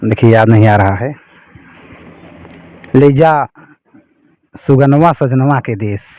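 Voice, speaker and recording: Long, frequent pauses break up a man's speech, which sits at a medium pitch with ordinary pitch variation. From Jaunpur, Uttar Pradesh, India. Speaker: songwriter and school math teacher. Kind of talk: interview answer.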